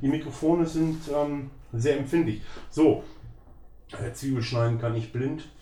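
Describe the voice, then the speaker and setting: A man speaks at a fairly slow pace with long, frequent pauses and fairly even intonation, his voice fairly high, somewhat breathy and dark and mellow in tone. Audible room echo surrounds him. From Germany, northern Hesse. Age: 50s. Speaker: professional chef. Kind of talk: casual cooking chat. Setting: home kitchen.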